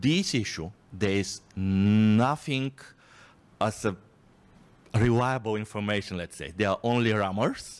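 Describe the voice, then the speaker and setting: Speaking at a very slow pace with a Bulgarian accent, a man uses a fairly low pitch and ordinary pitch variation. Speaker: think tank researcher. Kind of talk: audience question at conference. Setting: conference with audience. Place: hall. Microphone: handheld.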